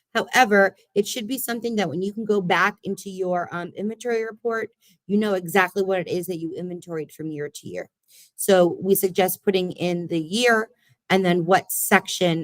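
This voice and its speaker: In a dry, close sound with no echo, a woman at medium pitch uses ordinary pitch variation and big swings in loudness. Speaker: library services trainer. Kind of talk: online training session. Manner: fast.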